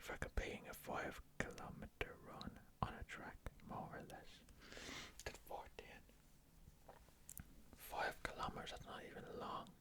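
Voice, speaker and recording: The speaker is whispering at a fairly slow pace, with long, frequent pauses. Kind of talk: ASMR trivia game. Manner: whispered.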